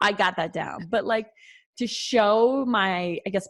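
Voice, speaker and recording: A woman with a North Dakota accent, medium in pitch, at a fairly slow pace. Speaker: occupational therapist. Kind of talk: casual interview chat. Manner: many filler words (um, like, you know).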